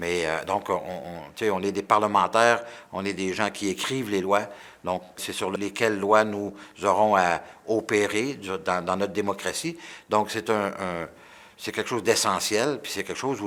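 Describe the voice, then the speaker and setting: Pitch varies in an ordinary way while the speech goes along fairly slowly. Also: man. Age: 60s. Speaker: politician. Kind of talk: interview answers. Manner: halting, many repetitions; enthusiastic.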